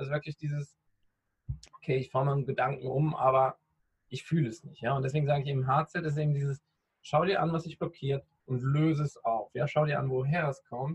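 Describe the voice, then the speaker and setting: A man's somewhat breathy, fairly high voice with fairly even intonation, a fairly quick pace and long, frequent pauses, in a dry, close sound with no echo. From Rhineland, western Germany. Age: 30s. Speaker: podcaster and personal development coach. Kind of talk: interview.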